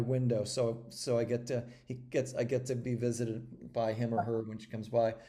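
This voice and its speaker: A man's dark, mellow tone at a moderate pace. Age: 60s. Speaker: regenerative agriculture entrepreneur and activist. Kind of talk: interview. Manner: halting, many repetitions and fillers.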